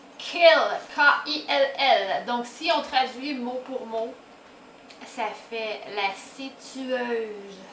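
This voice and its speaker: Against noticeable background noise, a woman with a high pitch speaks in a playful tone at a very slow pace. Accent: Quebec. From Quebec. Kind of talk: casual talk to camera. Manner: spontaneous, playful.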